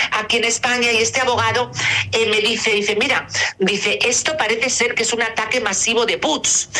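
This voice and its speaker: Over noticeable background noise, a woman talks at a moderate pace. Her pitch is fairly high and her intonation fairly even. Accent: Castilian. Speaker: celebrity's mother. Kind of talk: interview.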